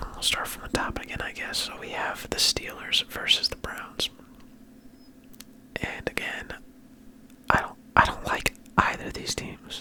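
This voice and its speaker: A man whispers at a fairly slow pace in a relaxed tone, with long, frequent pauses. His loudness swings widely, and there is noticeable background noise. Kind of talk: ASMR sports talk. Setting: home studio with mic arm. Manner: whispered; soft-spoken, relaxed.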